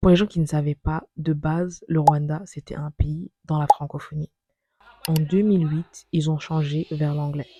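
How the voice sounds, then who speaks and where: A woman's very deep, low pitch, dark, mellow tone and somewhat breathy sound, with monotone, flat intonation at a fairly slow pace, in a dry, close sound with no echo. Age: 20s. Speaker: vlogger. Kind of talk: personal narration.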